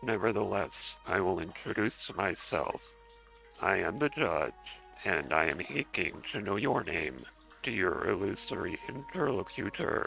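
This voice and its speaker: Over clear background music, a man uses a put-on character voice, speaking fairly slowly at a fairly low pitch. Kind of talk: pompous, formal.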